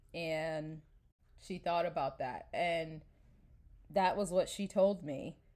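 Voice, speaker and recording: A woman with an American accent speaks at a very slow pace, with long, frequent pauses. Her fairly low voice keeps a fairly even intonation. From New York. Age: 30s. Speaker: podcast host. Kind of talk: casual solo podcast monologue. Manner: chatty, informal.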